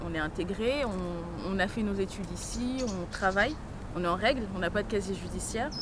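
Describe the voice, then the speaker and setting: Against noticeable background noise and audible room echo, a woman speaks at a moderate pace with a medium pitch and ordinary pitch variation. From France (arrived as a young child). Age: 20s. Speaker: young immigrant woman, visitor at detention centre. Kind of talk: documentary interview. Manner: halting, many hesitations.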